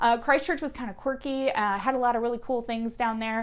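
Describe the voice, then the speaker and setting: A woman speaks in a high pitch with an American accent. The recording is very clean, with a silent background. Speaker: travel vlogger. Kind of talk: casual travel review monologue. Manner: hesitant, many fillers.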